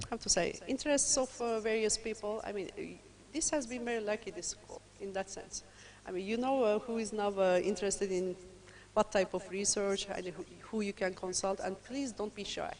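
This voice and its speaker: A woman's medium-pitched voice with a Turkish accent and ordinary pitch variation. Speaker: lecturer. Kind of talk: lecture. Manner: fast.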